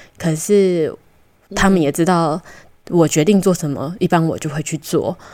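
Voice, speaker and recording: A woman with a Taiwanese accent speaks fairly slowly at fairly low pitch. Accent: Taiwanese Mandarin. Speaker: podcast co-host, traveler. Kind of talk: casual interview. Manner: hesitant, many fillers.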